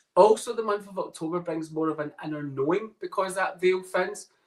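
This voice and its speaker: This man has a Scottish accent. His pace is moderate. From Scotland. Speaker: psychic medium. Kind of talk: casual chat. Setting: podcast interview.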